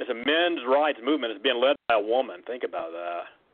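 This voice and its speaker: Here a man speaks in a plain, everyday voice at medium pitch. His pace is fairly quick. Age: 30s. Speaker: caller. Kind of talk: casual chat.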